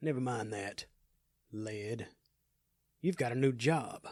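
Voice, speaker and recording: Using a raspy, put-on character voice, a man speaks at a fairly slow pace and a medium pitch. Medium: audio drama.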